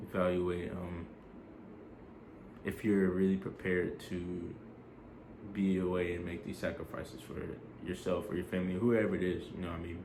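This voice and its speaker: Long, frequent pauses break up monotone, flat intonation, heard with audible room echo. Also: man, very deep, low pitch for a man. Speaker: army soldier vlogger. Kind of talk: casual vlog advice. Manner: fast; casual, filler-heavy.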